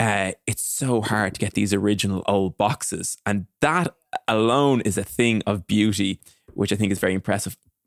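A man speaks in a plain, everyday voice at a moderate pace and a fairly low pitch, with ordinary pitch variation. His loudness stays very even, and the sound is dry and close with no echo. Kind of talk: casual interview chat.

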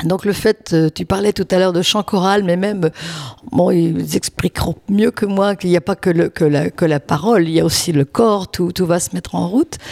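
A woman with a plain, everyday voice speaks at a fairly low pitch and a moderate pace with ordinary pitch variation, in a dry, close sound with no echo. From France, Lyon. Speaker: charity volunteer. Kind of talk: casual interview.

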